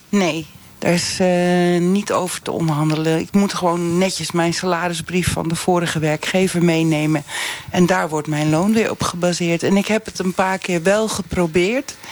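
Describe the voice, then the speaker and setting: A woman with a fairly low pitch talks at a moderate pace over noticeable background noise. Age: 50s. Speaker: English teacher, flex worker. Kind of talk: live radio debate.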